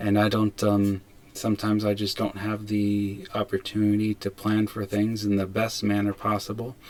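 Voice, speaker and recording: A man with an American accent speaks at a moderate pace in a fairly low, monotone, flat voice. The recording is very clean, with a silent background. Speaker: imam. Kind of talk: casual talk to camera. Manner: hesitant, many fillers and restarts; stumbles over words.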